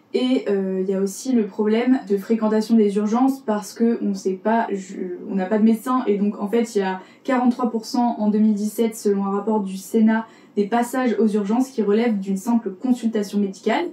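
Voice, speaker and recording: Against noticeable background noise, a woman with a fairly high pitch speaks in a fairly even intonation. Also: moderate pace. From Paris, France. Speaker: podcast columnist. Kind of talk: podcast segment presenting facts. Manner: casual, hesitant with fillers.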